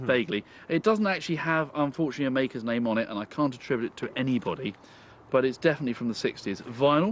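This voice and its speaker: A man at a very fast pace with lively intonation, the sound dry with no echo and light background noise behind him. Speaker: antiques dealer co-host. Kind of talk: casual antiques TV banter. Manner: upbeat, chatty. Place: open country.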